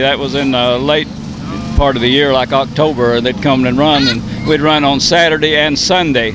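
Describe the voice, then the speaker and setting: Over noticeable background noise, a man's fairly high voice at a moderate pace, with ordinary pitch variation. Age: 70s. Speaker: retired racing driver and crew chief. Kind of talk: interview. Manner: halting.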